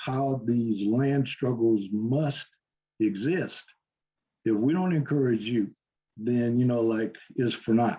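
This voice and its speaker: A man speaks with very even loudness. He leaves long, frequent pauses. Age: 70s. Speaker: farmer advocacy organization leader. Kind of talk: speech at online listening session. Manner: halting, many fillers and repetitions; off-the-cuff.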